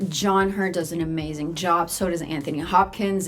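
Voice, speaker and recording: A woman at a moderate pace with an American accent and fairly even intonation, over noticeable background noise. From US South, North Carolina. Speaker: film reviewer, YouTuber. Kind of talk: casual video review.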